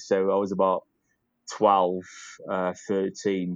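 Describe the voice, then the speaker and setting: Recorded dry and close with no echo over a quiet background, the speaker talks with a North Welsh accent. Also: man. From North Wales, Caernarfon. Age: 30s. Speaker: rugby director and player. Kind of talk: casual interview.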